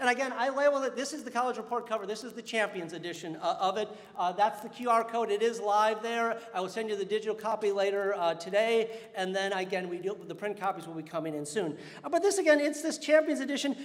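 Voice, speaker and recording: With audible room echo, a man speaks at a very fast pace in a high pitch, his tone animated and his intonation lively. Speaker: college dean. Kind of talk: convocation address. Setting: stage with audience.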